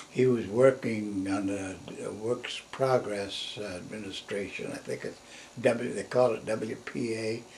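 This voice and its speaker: Very slowly, a man speaks with an American accent at medium pitch and with fairly even intonation. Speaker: grandfather recalling family history. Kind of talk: interview answer. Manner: halting, rambling.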